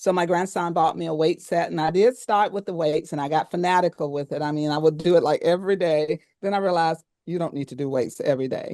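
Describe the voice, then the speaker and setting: A woman's fairly low, dark, mellow voice at a very fast pace, with ordinary pitch variation, dry and close with no echo, over a quiet background. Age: 70s. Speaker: podcast co-host. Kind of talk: casual chat.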